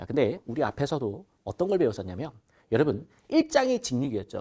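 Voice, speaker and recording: A man talks at a fairly quick pace in an animated tone, his pitch swinging very widely. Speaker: exam prep instructor. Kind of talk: lecture. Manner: loud.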